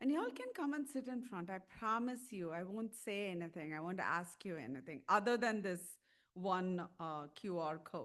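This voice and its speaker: The pace of this woman's speech is moderate. Her pitch sits at a medium level. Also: lively intonation. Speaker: tobacco treatment clinician, conference speaker. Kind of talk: conference presentation. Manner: loud; animated.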